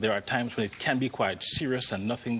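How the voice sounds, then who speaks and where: A man with a Jamaican accent, his pitch sitting in the middle range. He talks at a fairly quick pace. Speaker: orthopedic spine surgeon. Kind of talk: TV talk show interview.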